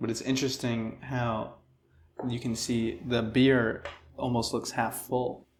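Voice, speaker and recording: In an American accent, a man speaks monotone and flat at a fairly slow pace and medium pitch, with audible room echo around him. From Rochester, New York. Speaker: comedy interview host. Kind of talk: comedic interview. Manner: monotone, flat; deadpan.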